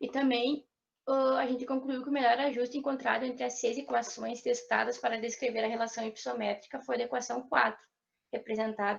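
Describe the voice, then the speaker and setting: At a fairly quick pace, a woman speaks with a fairly high pitch and vocal fry. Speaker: forestry student presenter. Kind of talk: student seminar presentation.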